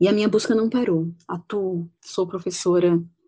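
A fairly slow pace and fairly even intonation go with a dark, mellow tone in this voice. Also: woman. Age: 40s. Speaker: teacher. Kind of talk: personal testimony. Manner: halting.

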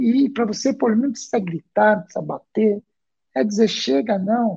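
Dark and mellow in tone, a man speaks with ordinary pitch variation. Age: 40s. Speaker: school counselor and psychoanalyst. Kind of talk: interview on a live parenting show. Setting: live stream.

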